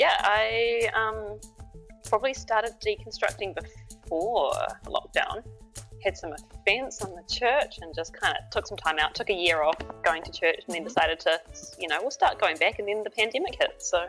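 The speaker has a strong New Zealand accent, and the loudness swings widely. Music plays in the background. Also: woman, moderate pace. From New Zealand, lives in Dunedin. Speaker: podcast guest, book club member.

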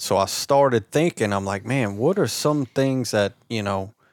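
In a South Louisiana accent, a man talks at medium pitch and a moderate pace. The sound is dry and close with no echo, on a very clean recording with a silent background. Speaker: YouTube outdoor content creator. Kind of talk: casual chat.

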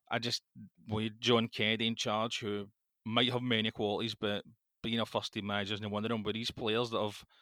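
In a very clean recording with a silent background, a man speaks with a Scottish accent at a fairly quick pace. His tone is bright and sharp, and the sound is dry and close with no echo. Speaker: football podcast co-host. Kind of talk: casual chat.

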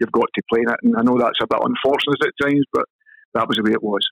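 A man with a Scottish accent talks at a very fast pace, the sound dry and close with no echo. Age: 50s. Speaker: former professional footballer. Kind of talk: casual interview.

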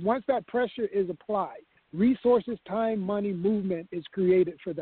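At a moderate pace, a man with a high-pitched voice talks with ordinary pitch variation. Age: 50s. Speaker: political consultant. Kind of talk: casual chat.

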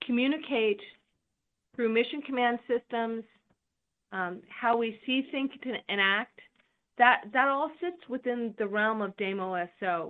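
A woman with an American accent, fairly high pitch and ordinary pitch variation, an unremarkable speaking voice. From California. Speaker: army general. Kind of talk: interview.

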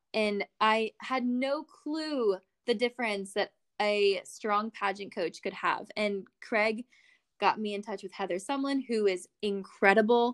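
At a fairly slow pace, a woman with an American accent speaks with ordinary pitch variation in a dry, close sound with no echo. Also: fairly high pitch for a woman. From coastal Virginia, US. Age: 20s. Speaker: beauty pageant titleholder. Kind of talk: casual podcast interview.

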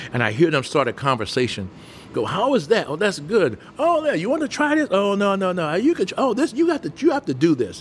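Music plays in the background as a man talks at a fairly quick pace. His high voice makes very wide pitch swings. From US South, Mobile, Alabama. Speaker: restaurant owner. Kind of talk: interview.

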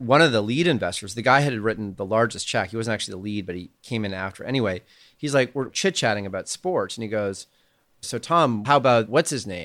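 With a Canadian accent and a normal speaking voice, a man of medium pitch talks at a fairly quick pace with lively intonation on a very clean recording with a silent background. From Canada. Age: 40s. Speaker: angel investor. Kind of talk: casual chat.

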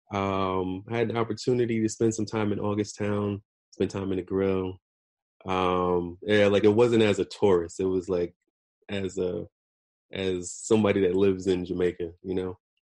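Against a quiet background, a man talks in a fairly low pitch with a slight Caribbean accent and monotone, flat intonation. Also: moderate pace. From US Northeast, New Jersey. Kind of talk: casual chat. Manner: halting, many fillers.

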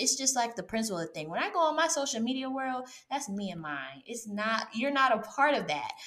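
Her pitch swinging very widely, a woman talks at a fairly quick pace over noticeable background noise. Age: 30s. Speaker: podcast host, former teacher. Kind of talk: interview. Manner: animated.

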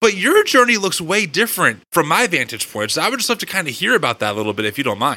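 Talking very fast with hardly any pauses, a man uses a high, animated voice full of very wide pitch swings. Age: 30s. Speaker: podcast host. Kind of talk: interview conversation; host promo read.

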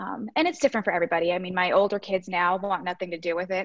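A woman with a medium pitch talks at a very fast pace, using ordinary pitch variation. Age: 30s. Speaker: registered nurse and home fitness coach. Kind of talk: casual interview.

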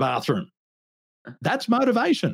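A man with an Australian accent talks at a fairly quick pace in a somewhat breathy voice, his pitch swinging very widely, on a very clean recording with a silent background. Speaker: business coach. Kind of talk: interview.

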